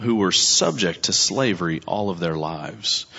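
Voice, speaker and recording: A man speaks at a very slow pace, his voice showing vocal fry. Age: 40s. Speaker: pastor. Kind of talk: sermon. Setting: church.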